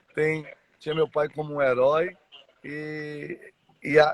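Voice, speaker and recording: The speaker is a man with a fairly high pitch. He talks at a very slow pace. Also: dry, close sound with no echo. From Brazil, Mato Grosso do Sul (Dourados). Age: 40s. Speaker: church member sharing life story. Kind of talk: testimony. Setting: live stream. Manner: halting.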